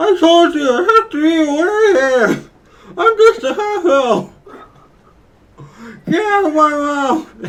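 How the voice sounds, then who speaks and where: The speaker uses a put-on character voice with a high pitch. Long, frequent pauses break up the fairly slow pace. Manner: muffled, speaking with hand in mouth.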